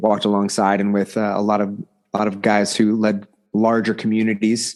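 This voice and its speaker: A man speaks at a medium pitch with an American accent. The background is quiet. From Oklahoma, near Tulsa. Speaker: leadership coach and former pastor. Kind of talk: podcast interview.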